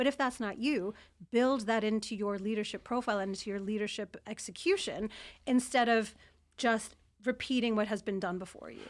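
A New York accent at a fairly quick pace, fairly even in intonation, with big swings in loudness, in a very clean recording with a silent background. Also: woman, fairly high pitch for a woman. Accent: New York American. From New York, US. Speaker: former intelligence analyst turned CEO. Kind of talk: interview. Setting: studio, in person.

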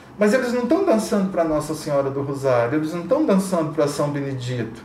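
The recording has audible room echo and noticeable background noise. Through it, a man speaks at a high pitch. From Brazil, Catalão, Goiás. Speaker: academic researcher. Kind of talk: interview. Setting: hotel.

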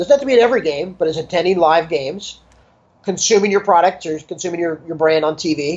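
An American accent marks this man's unremarkable speaking voice, pitched fairly high. He keeps a moderate pace with ordinary pitch variation. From Los Angeles, US. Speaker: sports business consultant. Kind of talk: interview.

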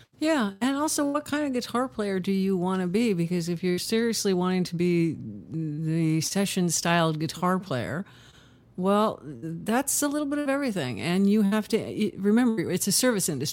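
A woman with a Californian accent speaks at a moderate pace, her medium pitch swinging very widely. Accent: Californian American. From Southern California (Huntington Beach). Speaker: session and touring guitarist. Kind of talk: casual interview chat.

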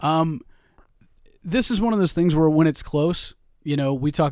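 The recording is very clean with a silent background. A man speaks at a moderate pace with a fairly high pitch and ordinary pitch variation. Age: 30s. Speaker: podcast co-host. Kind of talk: casual chat. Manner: animated.

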